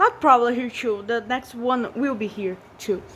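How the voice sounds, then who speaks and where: A woman speaks with a Portuguese accent and ordinary pitch variation. Background noise is noticeable. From Brazil. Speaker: vlogger. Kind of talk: room tour vlog. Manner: halting, many repetitions.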